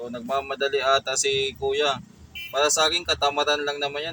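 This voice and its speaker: Over noticeable background noise, a man speaks at a very fast pace in a fairly high pitch. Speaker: DIY electronics YouTuber. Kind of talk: tutorial. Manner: slightly slurred speech; casual, hesitant.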